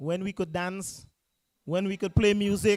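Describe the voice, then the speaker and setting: A man with a Grenadian accent speaks in a high pitch at a fairly slow pace. The recording is very clean with a silent background, and the sound is dry and close with no echo. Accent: Grenadian, unchanged after decades abroad. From Grenada. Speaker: political party speaker. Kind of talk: political rally speech. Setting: public meeting in a school. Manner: impassioned, rousing.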